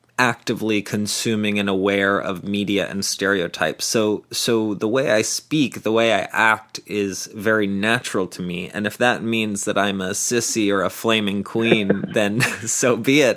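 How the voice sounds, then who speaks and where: Someone with an American accent speaks at a moderate pace with hardly any pauses over noticeable background noise. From northern US. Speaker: podcast host. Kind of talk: interview.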